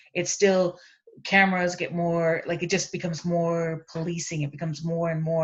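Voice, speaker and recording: Fairly low in pitch, a woman's voice comes out somewhat breathy. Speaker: land-based educator and panelist. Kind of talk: panel discussion. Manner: fast.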